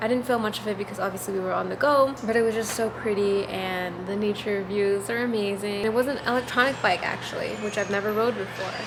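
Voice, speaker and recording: A woman at medium pitch talks at a very fast pace with hardly any pauses and fairly even intonation, over noticeable background noise. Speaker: travel vlogger. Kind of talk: casual travel vlog voiceover. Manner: a little sarcastic.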